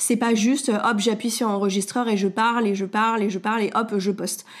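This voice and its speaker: A woman with a fairly high pitch and fairly even intonation keeps up a moderate pace. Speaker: podcast host and wellness coach. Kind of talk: solo podcast monologue. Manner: hesitant, many fillers.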